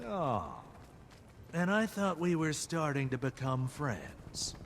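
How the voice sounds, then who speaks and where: Someone talks in a put-on character voice at a fairly slow pace, with clear background noise behind. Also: man, fairly high pitch for a man. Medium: video game. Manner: wry, flippant.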